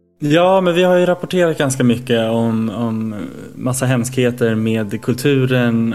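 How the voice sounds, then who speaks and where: With music in the background, a man speaks at a medium pitch and ordinary pitch variation. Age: 30s. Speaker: gaming podcast co-host. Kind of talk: casual chat.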